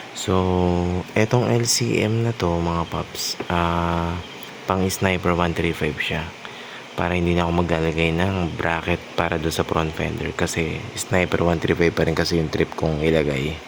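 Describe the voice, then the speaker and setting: Soft-spoken delivery at a moderate pace, with very even loudness, ordinary pitch variation and noticeable background noise. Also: man, very deep, low pitch for a man. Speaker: motorcycle vlogger. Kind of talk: product showcase vlog.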